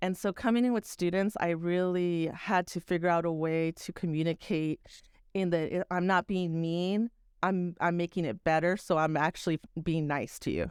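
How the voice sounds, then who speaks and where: A woman's plain, everyday voice, fairly low and fairly even in intonation, at a moderate pace, dry and close with no echo on a very clean recording with a silent background. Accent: American. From Texas. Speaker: video producer and teacher. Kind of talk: casual chat.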